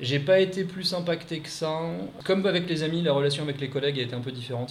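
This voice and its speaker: Audible room echo and noticeable background noise surround a man's voice. He speaks at a very fast pace with ordinary pitch variation. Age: 30s. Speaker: expatriate. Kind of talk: interview.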